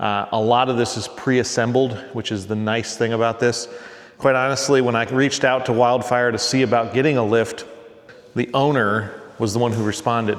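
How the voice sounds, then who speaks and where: At a fairly quick pace, a man speaks at a medium pitch in a relaxed tone with monotone, flat intonation. Noticeable background noise and audible room echo fill the recording. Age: 40s. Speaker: car restoration YouTuber. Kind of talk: casual tutorial. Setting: garage workshop. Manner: relaxed, conversational.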